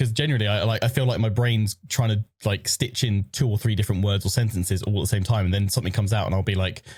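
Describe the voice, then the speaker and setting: A man talks very fast with hardly any pauses, his fairly low voice somewhat breathy, with fairly even intonation and very even loudness. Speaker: podcast co-host and streamer. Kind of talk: casual chat. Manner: fast, tripping over words.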